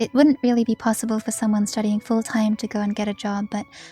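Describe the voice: The clip consists of plain reading aloud.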